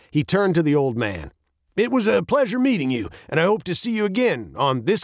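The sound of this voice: The background stays quiet while someone reads in an unforced reading voice.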